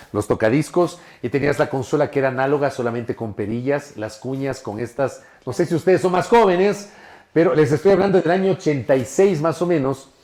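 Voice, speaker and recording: Animated in tone, a man with a fairly high pitch speaks at a fairly quick pace with lively intonation. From Ecuador, Ambato (Andean highlands), part childhood in Guayaquil. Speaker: journalist. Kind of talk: podcast interview.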